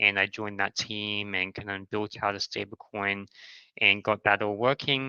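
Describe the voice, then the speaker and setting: A man with an Australian accent talks at a moderate pace in a fairly low voice with a bright, sharp tone. The sound is dry and close with no echo, against a quiet background. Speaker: crypto startup founder. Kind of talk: podcast interview.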